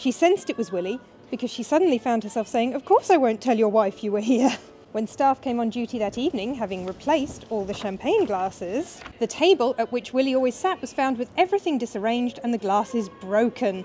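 Lively intonation carries the speech along at a fairly quick pace over light background noise. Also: woman, high pitch for a woman. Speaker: history lecturer. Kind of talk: ghost story telling. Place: street. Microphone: lapel.

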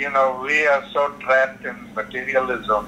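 A man with a fairly high voice speaks at a very slow pace over noticeable background noise. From South Africa. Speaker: author and nonviolence advocate. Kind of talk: interview answer.

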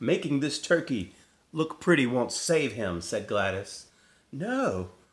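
The voice is an unforced reading voice. It reads the text through.

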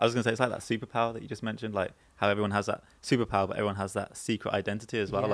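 With a Birmingham accent, a man talks at a very fast pace in a fairly low, monotone and flat voice. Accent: Birmingham (Brummie) English. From Birmingham, England. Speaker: panel show guest. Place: studio. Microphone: studio mic.

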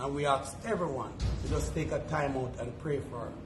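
Noticeable background noise sits behind a man's voice. He keeps a moderate pace with ordinary pitch variation. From Jamaica. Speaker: charity foundation representative. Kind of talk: news interview. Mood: solemn, emotional, grateful. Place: station. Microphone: handheld.

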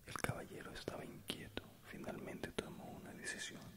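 A soft-spoken man whispers at a moderate pace over loud background noise. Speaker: storyteller. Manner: soft close-mic whispered reading. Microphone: studio mic.

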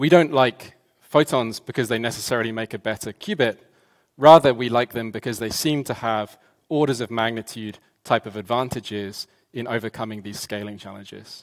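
A man talks at a fairly quick pace with big swings in loudness and ordinary pitch variation. The background is quiet. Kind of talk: conference talk. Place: stage.

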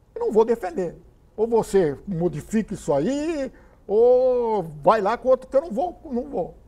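A man with a dark, mellow tone and an extremely high pitch talks at a fairly slow pace, with very wide pitch swings. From Cubatão, São Paulo state, Brazil; São Paulo state, Brazil. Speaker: retired politician and lawyer; council interviewee. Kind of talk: interview; interview answer. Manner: halting, with false starts. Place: meeting room. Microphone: lapel.

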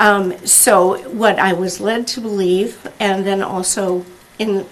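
A woman speaks at a medium pitch with ordinary pitch variation. The room echo is audible and background noise is noticeable. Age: 70s. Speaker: resident giving public comment. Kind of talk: public comment at council meeting. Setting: city council meeting. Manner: halting.

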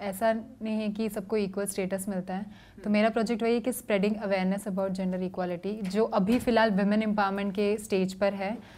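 The speech moves at a moderate pace. The intonation is monotone and flat. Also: woman. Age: 20s. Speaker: beauty pageant winner. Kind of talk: interview. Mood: calm, composed. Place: hall.

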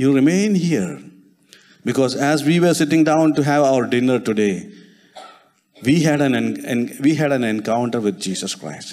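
Speaking in a Keralan accent, a man with medium pitch talks at a fairly slow pace with lively intonation. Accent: Indian English (Malayali). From India, Kerala. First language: Malayalam. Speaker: preacher. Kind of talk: sermon. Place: church. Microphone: handheld.

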